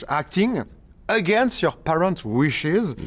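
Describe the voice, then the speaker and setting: A man with a French accent talks in a high voice with lively intonation. The recording is very clean, with a silent background. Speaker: show host. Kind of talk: interview. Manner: halting.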